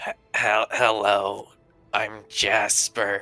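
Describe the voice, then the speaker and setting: A raspy, low-pitched put-on character voice over faint music in the background. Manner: creepy, unsettling.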